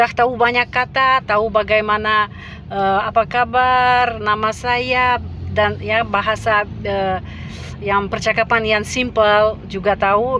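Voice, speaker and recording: Over noticeable background noise, a woman with a Russian accent speaks very slowly at a fairly high pitch, keeping her loudness very even and her intonation flat and monotone. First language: Russian (speaking Indonesian). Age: 50s. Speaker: language teacher. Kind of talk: casual vlog talk. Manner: halting with many fillers.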